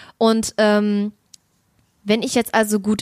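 Recorded with a dry, close sound and no echo, a woman speaks at a very slow pace in a fairly high pitch. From Germany, bilingual Russian household. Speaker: podcast co-host. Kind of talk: casual chat.

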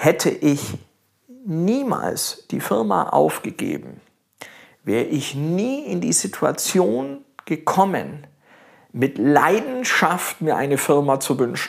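At a very slow pace with long, frequent pauses, a man with a fairly high pitch makes very wide pitch swings. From Augsburg, Bavarian Swabia, Germany. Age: 50s. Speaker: baker. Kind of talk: casual interview. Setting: home kitchen.

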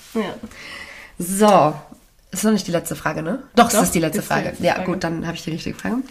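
A woman at a fairly low pitch, very fast pace with long, frequent pauses, ordinary pitch variation, and noticeable background noise. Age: 20s. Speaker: podcast co-host, radio presenter. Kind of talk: casual chat.

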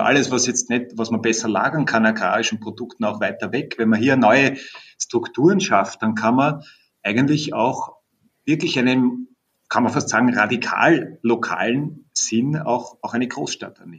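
A man talks with a medium pitch, ordinary pitch variation and a moderate pace. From Vienna, Austria. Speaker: horticultural researcher. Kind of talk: interview. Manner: repeats words, hesitant restarts.

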